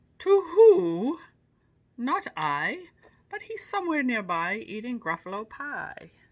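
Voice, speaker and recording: In a put-on character voice, a woman speaks at a high pitch and a fairly slow pace. Her pitch swings very widely. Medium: read story. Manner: hooting.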